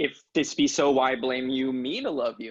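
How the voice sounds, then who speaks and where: A man puts on a character voice at a medium pitch with fairly even intonation. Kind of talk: Shakespearean verse acting. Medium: stage play. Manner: earnest, yearning.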